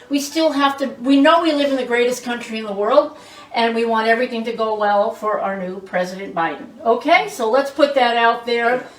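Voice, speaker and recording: There is noticeable background noise as a woman speaks in a high pitch at a moderate pace. Her tone is animated, with ordinary pitch variation. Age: 60s. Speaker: cooking show host. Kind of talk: cooking demonstration. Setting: home kitchen with family present.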